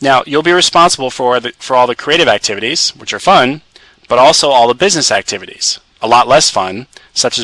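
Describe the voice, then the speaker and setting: A man's medium-pitched voice with a bright, sharp tone moves at a fairly quick pace with ordinary pitch variation in a dry, close sound with no echo. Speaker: publishing company presenter. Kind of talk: webinar presentation. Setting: conference call webinar. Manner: fast.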